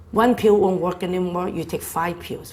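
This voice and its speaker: A woman's medium-pitched voice, fairly even in intonation, with vocal fry. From China. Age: 60s. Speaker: health speaker. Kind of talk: health talk. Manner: casual, conversational.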